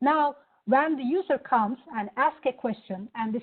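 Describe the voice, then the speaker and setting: A woman speaks with a Turkish accent. Her pace is moderate. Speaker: product executive. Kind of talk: product demo.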